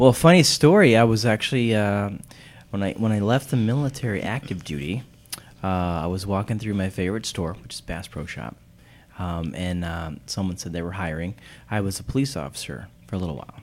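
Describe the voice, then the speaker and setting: Fairly quick and lively in intonation, a man with an unremarkable speaking voice talks at a fairly low pitch. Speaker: helicopter pilot and vacation sales team leader. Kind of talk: casual interview, promo talk. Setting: studio.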